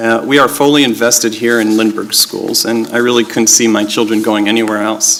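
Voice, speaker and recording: Over noticeable background noise, a man talks at a fairly quick pace with hardly any pauses and monotone, flat intonation. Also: medium pitch for a man. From Israel. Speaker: school board candidate. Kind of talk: opening statement at candidate forum. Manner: halting, many fillers.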